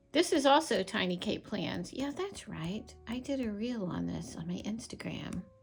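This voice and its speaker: Music plays in the background as a woman talks at a moderate pace with hardly any pauses. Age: 60s. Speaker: planner and journaling YouTuber. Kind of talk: casual product flip-through.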